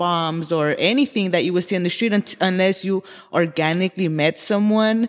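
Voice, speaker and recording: Speaking with an American accent, a woman has an unremarkable speaking voice, fairly low in pitch with fairly even intonation, on a very clean recording with a silent background. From Los Angeles, Koreatown. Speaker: graffiti artist. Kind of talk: casual interview.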